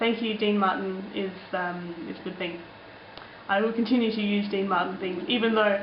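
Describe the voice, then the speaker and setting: A woman with an Australian accent at a fairly quick pace, with noticeable background noise and audible room echo. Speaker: vlogger. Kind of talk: casual vlog, answering comments. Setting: alone in apartment. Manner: chatty, many fillers.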